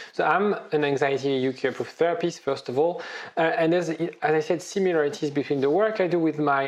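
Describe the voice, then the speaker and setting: The speaker is a man with a fairly high voice. His loudness stays very even, and his pitch varies in an ordinary way. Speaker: relationship therapist. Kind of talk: educational talk to camera. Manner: deliberately slowed.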